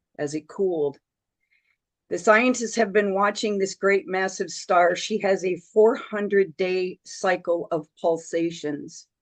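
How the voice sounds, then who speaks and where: At a fairly slow pace, a woman speaks in a normal speaking voice at a medium pitch, with ordinary pitch variation. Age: 60s. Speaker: spiritual speaker. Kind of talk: spiritual talk on a group call.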